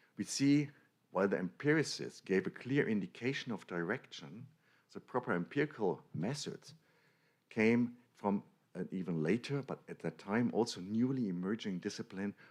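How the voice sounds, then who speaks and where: A man with a German accent, fairly low in pitch, with lively intonation at a moderate pace. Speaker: academic lecturer. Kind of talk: conference lecture. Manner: halting.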